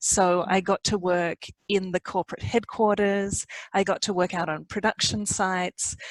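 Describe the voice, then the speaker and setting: A woman is speaking at a moderate pace. Her pitch is medium. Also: fairly even intonation, dry, close sound with no echo. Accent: Australian. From Australia. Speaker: organization design consultant. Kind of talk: podcast interview.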